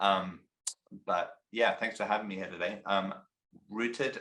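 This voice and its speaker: A man with an English accent speaks at a fairly low pitch in a bright, sharp tone, his intonation fairly even. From England. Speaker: company CEO. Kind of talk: interview.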